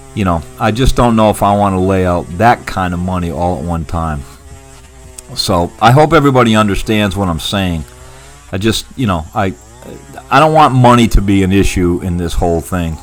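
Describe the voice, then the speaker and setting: A man with a very deep, low pitch talks at a moderate pace with lively intonation. Noticeable background noise runs behind him. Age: 70s. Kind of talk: casual vlog talk to camera. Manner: halting, with many restarts.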